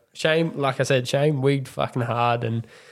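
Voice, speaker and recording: A man with a strong Australian accent at a medium pitch, fairly even intonation and a fairly quick pace, on a very clean recording with a silent background. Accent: broad Australian. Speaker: podcast co-host. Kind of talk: casual chat.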